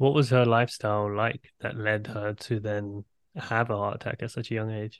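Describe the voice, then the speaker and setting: A man's monotone, flat delivery in a London accent against a quiet background. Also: medium pitch for a man, moderate pace. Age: 30s. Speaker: podcast host. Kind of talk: interview conversation.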